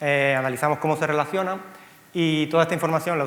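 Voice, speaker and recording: A man with a Cuban accent at a very fast pace, fairly even intonation and audible room echo. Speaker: software company co-founder. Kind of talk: conference talk. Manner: halting, frequent fillers and repeats.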